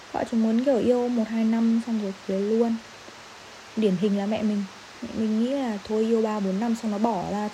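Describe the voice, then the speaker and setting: Amid noticeable background noise, a woman speaks at a fairly slow pace and fairly high pitch with fairly even intonation. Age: 20s. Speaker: podcast host, university student. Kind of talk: solo podcast monologue. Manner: casual, laughing often.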